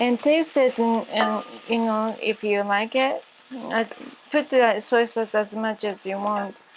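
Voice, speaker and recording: Noticeable background noise sits behind a woman who speaks at a fairly slow pace with fairly high pitch and fairly even intonation. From Japan. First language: Japanese. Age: 60s. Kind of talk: cooking tutorial to camera. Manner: hesitant, many fillers.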